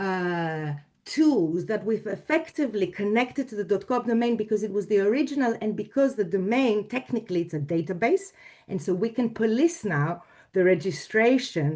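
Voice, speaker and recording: A woman's fairly high, dark, mellow voice in a Greek accent, with lively intonation and a moderate pace. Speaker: domain registry executive. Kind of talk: panel discussion. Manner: halting.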